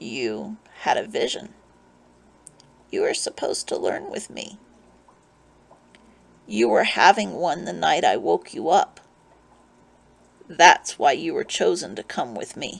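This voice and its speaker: A raspy put-on character voice, fairly slow with long, frequent pauses and big swings in loudness. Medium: read story. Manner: calm, wry, gently amused.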